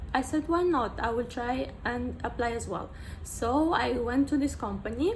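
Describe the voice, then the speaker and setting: Echo from the room can be heard as the words come out at a fairly slow rate. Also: woman. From Moldova. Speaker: vlogger. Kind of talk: casual vlog talk. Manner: halting, many fillers.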